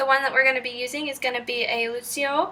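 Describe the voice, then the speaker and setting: High-pitched and raised to project, a woman with a slight Southern US accent speaks at a fairly quick pace against noticeable background noise. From Kentucky. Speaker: cooking video maker. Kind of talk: tutorial. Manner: animated.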